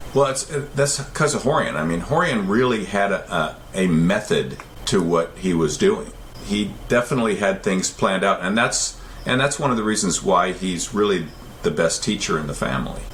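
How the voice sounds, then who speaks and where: A man speaks at a moderate pace in a fairly low voice. His pitch swings very widely, with noticeable background noise. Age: 70s. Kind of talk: interview. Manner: halting, with frequent repetitions.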